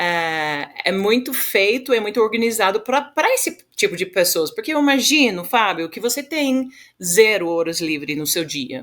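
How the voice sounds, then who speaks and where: In a very clean recording with a silent background, a woman speaks with an English accent at a medium pitch. Her pace is moderate and her pitch swings are very wide. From Western Australia. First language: English (speaking Portuguese). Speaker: agricultural leadership organization founder. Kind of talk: podcast interview. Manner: halting, many repetitions and fillers.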